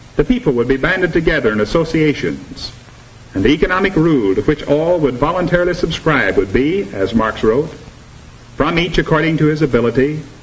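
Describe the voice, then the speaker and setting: Over noticeable background noise, a man speaks at a moderate pace with a fairly high pitch that swings very widely. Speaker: narrator of educational film. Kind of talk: mid-century educational film narration.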